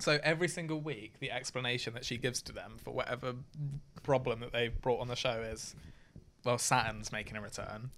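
A man with a British accent talks at a fairly quick pace in a medium pitch, his tone bright and sharp, with ordinary pitch variation and big swings in loudness. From UK. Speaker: friend and former fan. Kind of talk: casual chat.

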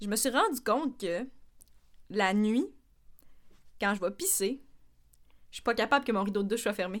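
A woman with a Quebec accent, fairly high in pitch, with ordinary pitch variation, a moderate pace and long, frequent pauses. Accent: Québécois French. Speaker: podcast co-host. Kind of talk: casual chat. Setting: studio.

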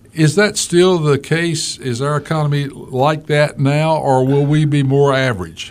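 A man with an unremarkable speaking voice, fairly high in pitch, at a fairly slow pace with hardly any pauses and fairly even intonation. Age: 50s. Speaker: radio talk show host. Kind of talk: radio interview. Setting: radio studio.

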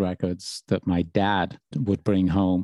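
A man's dark, mellow tone at a fairly slow pace, with a Birmingham accent, in a dry, close sound with no echo and a quiet background. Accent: Birmingham lilt. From England, Birmingham. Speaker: radio DJ and podcast host. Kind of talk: interview answers, casual chat.

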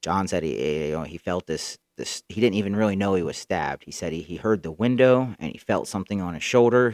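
A man with an American accent and a normal speaking voice talks fairly quickly at a fairly low pitch with ordinary pitch variation, in a dry, close, very clean recording with no echo and a silent background. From Central Florida, Tampa area. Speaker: podcast host. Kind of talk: solo storytelling monologue. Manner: casual, rambling with fillers.

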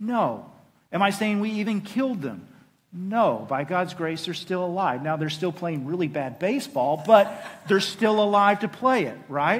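A man with a Southern US accent talks at a moderate pace in a high voice with lively intonation. Audible room echo surrounds him. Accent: Southern US (Oklahoma). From Oklahoma. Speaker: pastor. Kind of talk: sermon.

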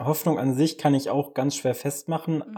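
This man's voice sits fairly high in pitch, with a dark, mellow tone. His intonation stays fairly even. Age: 20s. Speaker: church elder and lab technician. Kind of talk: casual chat.

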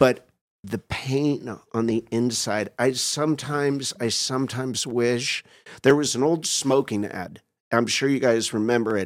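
In a normal speaking voice, a man talks at a medium pitch and a fairly slow pace with fairly even intonation. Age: 50s. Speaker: doctor in recovery from alcohol addiction. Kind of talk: casual chat.

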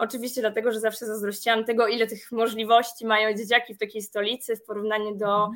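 This woman's pitch is fairly high. She speaks very fast. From Poland, Masovia (small town north of Warsaw). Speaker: project manager and business trainer. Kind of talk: interview.

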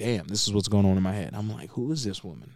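A man's fairly low voice with ordinary pitch variation on a very clean recording with a silent background. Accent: American. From Las Vegas, Nevada, US. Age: 20s. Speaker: podcast co-host. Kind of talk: casual chat. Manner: animated.

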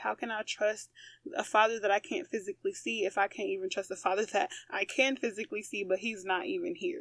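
A woman speaks at a fairly high pitch with an animated tone. Her voice swings very widely in pitch. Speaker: podcast host. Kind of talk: faith-based monologue.

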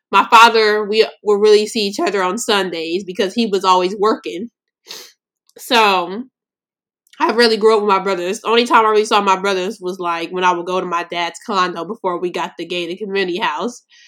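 A woman of medium pitch speaks at a fairly quick pace in an animated tone, with ordinary pitch variation. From US West Coast, Los Angeles. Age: 20s. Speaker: podcast host. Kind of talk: casual solo monologue.

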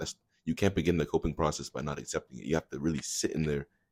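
A man speaks very fast in a very deep, low voice with vocal fry and ordinary pitch variation. The very clean recording has a silent background and a dry, close sound with no echo. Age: young. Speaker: college student. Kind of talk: casual chat.

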